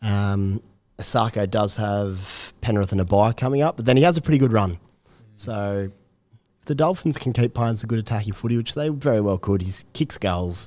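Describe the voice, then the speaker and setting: The voice carries a dark, mellow tone with ordinary pitch variation, recorded very cleanly against a silent background. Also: man, fairly low pitch for a man, fairly quick pace. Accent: Australian. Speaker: fantasy rugby league analyst. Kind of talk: casual chat.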